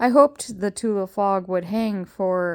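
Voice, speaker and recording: A woman speaks in a normal speaking voice at a medium pitch and a fairly slow pace. The recording is very clean, with a silent background. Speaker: grandmother reading books aloud. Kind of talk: audiobook reading of a children's novel.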